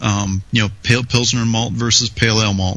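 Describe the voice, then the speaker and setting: Here is a man with an ordinary speaking voice. He keeps a moderate pace and fairly even intonation. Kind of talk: casual banter and technical discussion.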